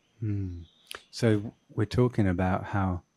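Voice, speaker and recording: The voice has a dark, mellow tone and fairly even intonation, captured on a very clean recording with a silent background. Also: man. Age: 40s. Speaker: podcast host. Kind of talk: interview conversation.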